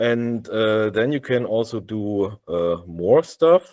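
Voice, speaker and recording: A man with a German accent speaks at medium pitch, recorded very cleanly against a silent background with a dry, close sound and no echo. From Germany. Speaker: software developer. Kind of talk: tech demo. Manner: halting, many fillers.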